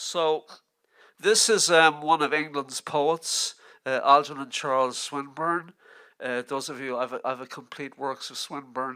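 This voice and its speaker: A man with a Dublin accent, fairly high-pitched and bright, sharp in tone, at a fairly slow pace with fairly even intonation and big swings in loudness, on a very clean recording with a silent background. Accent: Dublin Irish. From Ireland, Dublin. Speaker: literary scholar. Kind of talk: lecture. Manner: halting.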